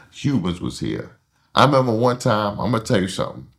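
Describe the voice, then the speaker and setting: Vocal fry runs through the voice on a very clean recording with a silent background. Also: man. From Harlem, New York City. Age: 60s. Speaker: interviewee, Harlem native. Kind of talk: casual interview storytelling.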